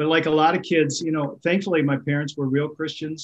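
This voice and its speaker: A man with an American accent, monotone and flat in intonation, at a moderate pace. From Minnesota. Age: 60s. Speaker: pastor. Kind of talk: casual interview.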